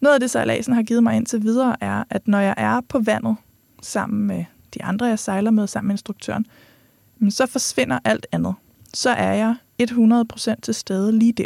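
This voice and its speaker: At a moderate pace, a woman speaks in a dry, close recording with no echo. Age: 30s. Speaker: podcast host. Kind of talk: podcast monologue.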